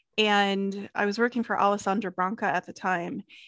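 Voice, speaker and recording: A woman's normal speaking voice at a medium pitch and fairly slow pace, with fairly even intonation, a quiet background and a dry, close sound with no echo. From US South, South Carolina. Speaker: hospitality interior designer. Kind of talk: casual interview chat.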